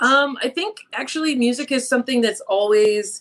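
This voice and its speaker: This woman talks at a moderate pace. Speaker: singer-songwriter. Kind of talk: casual interview.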